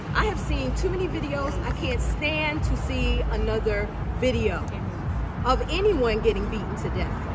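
A woman at a moderate pace over music in the background. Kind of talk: interview answer. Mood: grieving, emphatic. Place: street. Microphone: handheld.

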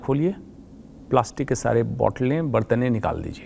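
Here a man talks at a fairly slow pace in a dark, mellow tone with ordinary pitch variation. Light background noise is present. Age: 50s. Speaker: oncologist; guest. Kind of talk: interview. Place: studio. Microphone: lapel.

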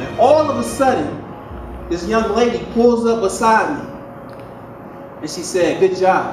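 Faint music plays behind a man speaking at a high pitch. Room echo is audible. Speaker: motivational speaker. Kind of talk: speech. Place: hall.

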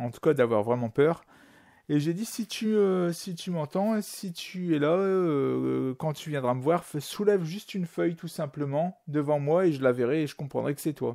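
A man with an ordinary speaking voice talks at a fairly slow pace and a fairly high pitch with ordinary variation. His loudness swings widely on a very clean recording with a silent background. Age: 40s. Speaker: amateur musician sharing a paranormal story. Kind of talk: testimony.

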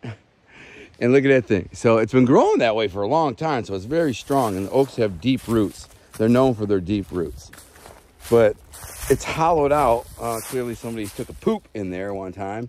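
The sound is dry with no echo as a man speaks at a moderate pace. His intonation is lively, with big swings in loudness. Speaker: outdoor vlogger. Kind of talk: casual vlog chat. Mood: amused, chatty. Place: forest. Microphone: phone near.

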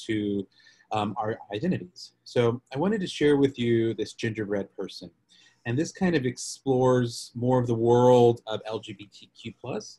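Against a quiet background, a man with an American accent speaks at a moderate pace in a somewhat breathy voice, his tone dark and mellow and his pitch varying in an ordinary way. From Texas, Lubbock. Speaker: policy advocate. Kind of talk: webinar presentation. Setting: video call. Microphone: video call.

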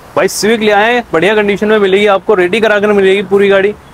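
Fast-paced, a man talks in a high voice. There is little movement in his pitch.

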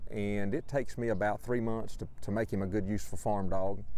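A man talks in a plain, everyday voice with fairly low pitch and fairly even intonation, the sound dry with no echo. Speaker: border collie trainer. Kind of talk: interview. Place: farm machine.

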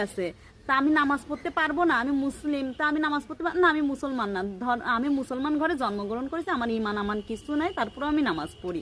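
A woman speaks in a southwestern Bangladeshi accent. Her high pitch carries lively intonation. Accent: Jessore regional Bengali dialect. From Jessore district, Bangladesh. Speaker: lifestyle vlogger. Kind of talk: casual vlog rant.

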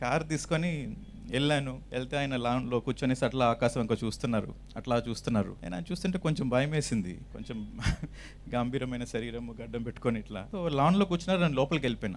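With vocal fry, a man talks at medium pitch with ordinary pitch variation. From Chittoor, Andhra Pradesh, India. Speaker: meditation teacher. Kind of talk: testimony.

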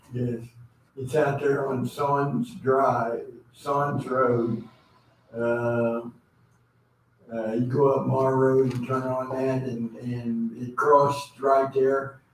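A man at a very slow pace, with long, frequent pauses, monotone, flat intonation, audible room echo and light background noise. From US Midwest. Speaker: audience member. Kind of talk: audience Q&A. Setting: stage with audience. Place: meeting room. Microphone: camera far.

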